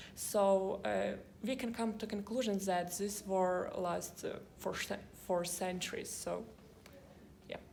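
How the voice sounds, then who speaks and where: A woman speaks very slowly at medium pitch, leaving long, frequent pauses. Her intonation is fairly even, and audible room echo surrounds her. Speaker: university student. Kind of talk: casual chat. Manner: halting.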